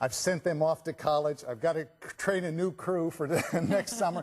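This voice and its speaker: At a moderate pace, a man with a plain, everyday voice speaks at a fairly high pitch. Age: 60s. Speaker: product company founder. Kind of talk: sales pitch.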